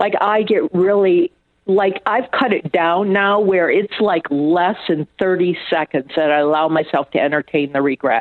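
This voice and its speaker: In an unremarkable speaking voice with an American accent, a woman of fairly low pitch speaks at a fairly slow pace, with very even loudness and ordinary pitch variation. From US Northeast and Michigan. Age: 60s. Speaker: trauma survivor and author. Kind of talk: interview.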